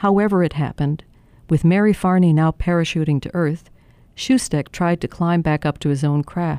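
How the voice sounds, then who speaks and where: On a very clean recording with a silent background, a woman speaks in a dramatic tone, with a dark, mellow sound, fairly low pitch, ordinary pitch variation and a moderate pace. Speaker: journalist narrator. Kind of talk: history documentary narration, scripted essay read aloud. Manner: measured, storytelling tone; dramatic, building suspense at key moments.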